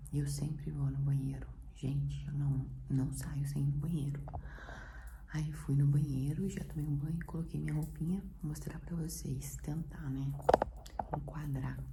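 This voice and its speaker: A soft-spoken woman talks at a fairly slow pace with long, frequent pauses. Noticeable background noise and audible room echo surround her voice. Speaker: vlogger. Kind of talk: casual vlog talk. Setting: at home in apartment. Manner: soft-spoken, speaking quietly.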